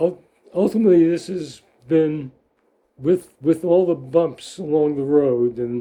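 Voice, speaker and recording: A man's dark, mellow-toned voice at a fairly slow pace with ordinary pitch variation. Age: 80s+. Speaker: psychoanalyst. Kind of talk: interview. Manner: halting.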